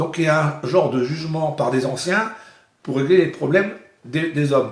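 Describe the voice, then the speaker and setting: A man talks at a moderate pace with a fairly high pitch and ordinary pitch variation. The room echo is audible. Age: 60s. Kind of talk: interview. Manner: halting.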